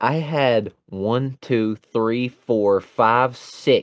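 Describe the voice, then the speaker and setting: At a medium pitch, a man talks with a Southern US accent. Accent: Southern US, noticeable. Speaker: podcast host. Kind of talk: casual sports chat. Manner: joking, rambling.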